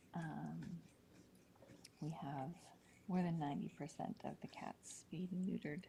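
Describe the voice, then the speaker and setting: The voice is quiet and fairly slow. Long pauses come often. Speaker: cat rescue livestream host. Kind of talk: live voice-over commentary. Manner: quiet, subdued; hesitant, many fillers.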